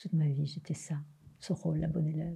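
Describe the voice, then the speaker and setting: A woman's very deep, low voice, somewhat breathy, dark and mellow in tone, with monotone, flat intonation at a fairly quick pace. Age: 60s. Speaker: spiritual teacher. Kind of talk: interview.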